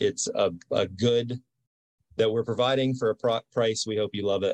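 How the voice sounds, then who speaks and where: A man with an ordinary speaking voice talks at a moderate pace in a dry, close sound with no echo. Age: 40s. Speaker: gym owner. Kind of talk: interview.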